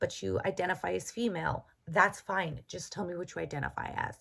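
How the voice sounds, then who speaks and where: On a very clean recording with a silent background, a woman speaks at a medium pitch and a moderate pace, her tone bright and sharp, with vocal fry. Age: 30s. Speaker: tarot reader. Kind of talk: casual vlog introduction. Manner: halting, many fillers and repeats.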